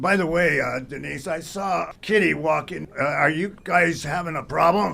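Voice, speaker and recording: A man puts on a raspy character voice, fairly high in pitch with ordinary variation. He moves at a moderate pace with hardly any pauses. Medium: audio drama. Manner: showy, halting.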